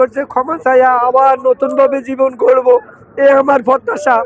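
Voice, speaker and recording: Against noticeable background noise, a man with an extremely high pitch is heard in a dry, close sound with no echo. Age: 80s+. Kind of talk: street interview answer. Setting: outdoors.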